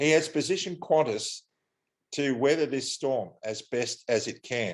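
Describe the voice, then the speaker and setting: In an Australian accent, the voice moves at a fairly slow pace with ordinary pitch variation over a quiet background. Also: man, fairly high pitch for a man. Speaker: airline pilot. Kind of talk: interview.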